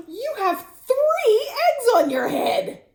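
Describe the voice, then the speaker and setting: This put-on character voice is squeaky and extremely high. Its pitch swings very widely. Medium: read story. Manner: bright, matter-of-fact.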